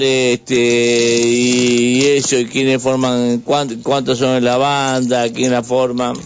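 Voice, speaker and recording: A man's medium-pitched voice at a very slow pace, over noticeable background noise. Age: 50s. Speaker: radio host. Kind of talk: casual chat. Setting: studio. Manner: halting.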